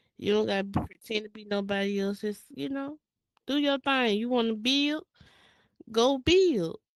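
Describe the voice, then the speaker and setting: A woman with a Mississippi accent speaks at a moderate pace, fairly high in pitch with lively intonation and big swings in loudness. She takes long, frequent pauses, and the sound is dry and close with no echo. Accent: Mississippi country speech. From US South, Jackson, Mississippi. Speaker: virtual reality world builder and creator. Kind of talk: interview. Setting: virtual reality space. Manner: casual.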